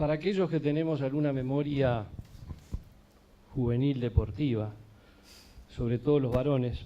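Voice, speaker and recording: Pausing long and often, a man speaks in a dark, mellow tone. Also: medium pitch for a man, ordinary pitch variation, moderate pace. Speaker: event moderator, law faculty. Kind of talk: event introduction.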